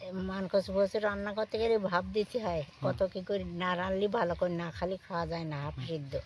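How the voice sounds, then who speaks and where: Somewhat breathy, the woman's voice shows ordinary pitch variation. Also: medium pitch for a woman. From India–Bangladesh border village, Bengal. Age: 80s+. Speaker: elderly widow living alone. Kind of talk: interview answer.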